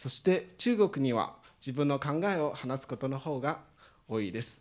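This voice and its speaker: A man with a Chinese accent, fairly high pitch, and a fairly slow pace. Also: very clean recording, silent background. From China, Shanghai. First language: Chinese (speaking Japanese). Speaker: international student. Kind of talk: prepared speech.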